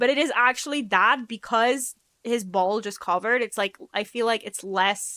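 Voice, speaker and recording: In a very clean, dry and close recording with no echo and a silent background, a woman speaks fairly slowly in an animated, bright and sharp tone. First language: Polish. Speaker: vtuber streamer. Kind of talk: casual live-stream chat.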